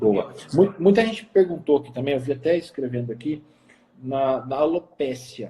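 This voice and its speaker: Somewhat breathy, a man talks at a fairly high pitch with lively intonation. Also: moderate pace. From Minas Gerais, Brazil. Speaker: nutritionist, live stream host. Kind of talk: live stream interview. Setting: Instagram live. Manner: swallows words.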